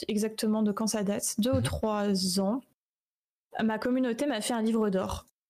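With fairly even intonation, a woman speaks in a plain, everyday voice, recorded very cleanly against a silent background. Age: 20s. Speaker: streamer and 3D artist. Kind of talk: casual interview. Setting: live stream.

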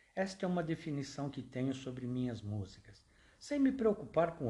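This man's intonation is lively. A somewhat breathy quality runs through his speech. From Brazil, São Paulo. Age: 60s. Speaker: podcast host and amateur songwriter. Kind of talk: personal storytelling monologue.

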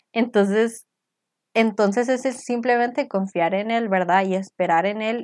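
A plain, everyday voice from a woman at a medium pitch, fairly slow in pace, against a quiet background. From Costa Rica. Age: 20s. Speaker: podcast co-host. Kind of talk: casual faith chat.

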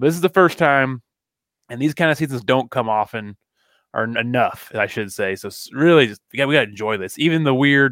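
Very fast and with lively intonation, a man of medium pitch speaks with an American accent in a very clean, dry, close recording with a silent background and no echo. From Missouri (Kearney). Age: 30s. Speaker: podcast co-host. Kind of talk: casual chat.

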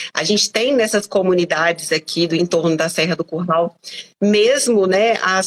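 A woman at medium pitch talks at a moderate pace in an ordinary speaking voice, the sound dry and close with no echo. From Brazil, Belo Horizonte (Minas Gerais). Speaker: teacher and environmental activist. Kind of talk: live online interview.

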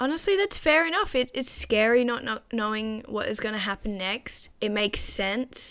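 Here is a woman with a plain, everyday voice. Her pitch is fairly high, with ordinary variation. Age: 20s. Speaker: podcast host. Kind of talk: solo casual monologue.

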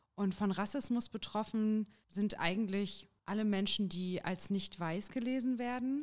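An unremarkable speaking voice moves at a fairly slow pace. Its loudness is very even, and its pitch variation is ordinary. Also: woman, medium pitch for a woman. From Thuringia, Jena. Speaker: trainee teacher and union youth activist. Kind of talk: interview. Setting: studio.

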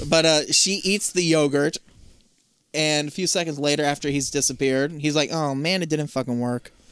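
Recorded very cleanly against a silent background, a man talks at a moderate pace in a fairly high voice. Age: 30s. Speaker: podcast co-host. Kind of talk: casual chat. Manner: animated.

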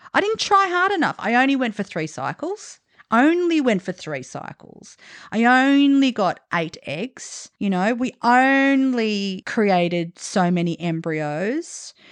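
Very slowly and with very wide pitch swings, a woman with a fairly high voice speaks in an Australian accent, recorded dry and close with no echo against a quiet background. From Australia, Italian background. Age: 40s. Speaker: podcast host. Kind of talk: casual chat.

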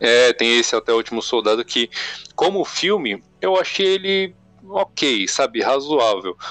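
The speech moves at a fairly slow pace with very wide pitch swings and very even loudness. The sound is dry and close with no echo, and music plays in the background. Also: man, fairly high pitch for a man. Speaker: podcast host. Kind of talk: casual chat.

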